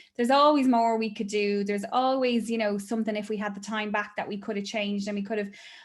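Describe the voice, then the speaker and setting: A woman speaks with an Irish accent at a fairly high pitch and ordinary pitch variation. The recording is very clean, with a silent background. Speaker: therapist. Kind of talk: casual chat.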